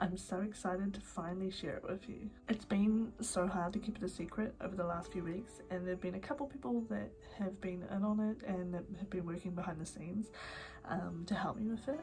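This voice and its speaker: A woman with a New Zealand accent at a fairly quick pace and medium pitch, with ordinary pitch variation and music in the background. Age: 20s. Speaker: YouTuber and podcaster. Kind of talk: casual talk to camera.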